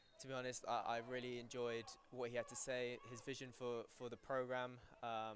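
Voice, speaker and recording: A man with a British accent. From England. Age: 19. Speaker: university soccer player. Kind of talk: live interview during broadcast.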